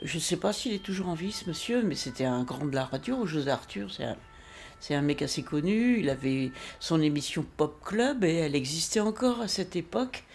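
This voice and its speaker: A woman with a northern French accent, very deep and low in pitch with very wide pitch swings, at a moderate pace over noticeable background noise. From northern France. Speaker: singer-songwriter. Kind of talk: casual interview. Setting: at home.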